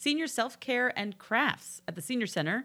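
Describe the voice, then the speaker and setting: A woman at a fairly quick pace, bright and sharp in tone, with vocal fry and a New Jersey accent, in a very clean recording with a silent background. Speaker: local community podcast co-host. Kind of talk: reading an events calendar; casual chat.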